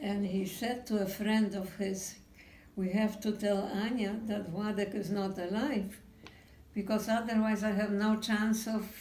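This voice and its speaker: A woman speaks at a fairly slow pace and a medium pitch, with audible room echo. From Poland. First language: Polish. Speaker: Holocaust survivor. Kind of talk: testimony. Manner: halting.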